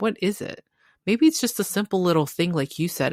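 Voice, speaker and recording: The woman's fairly low voice carries vocal fry, captured with a dry, close sound and no echo. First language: not English. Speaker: podcast co-host. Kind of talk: casual chat. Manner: halting.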